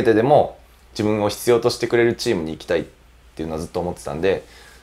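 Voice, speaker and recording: A man is speaking. His pace is very fast. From Gifu Prefecture, Japan. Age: 20s. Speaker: professional footballer, goalkeeper. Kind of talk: interview. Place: studio. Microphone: lapel.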